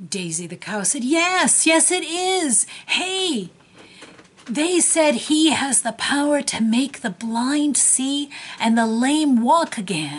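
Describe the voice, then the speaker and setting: In a put-on character voice, a woman talks very slowly at a high pitch. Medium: read story.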